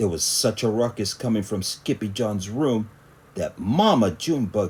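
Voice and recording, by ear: A natural voice, reading aloud.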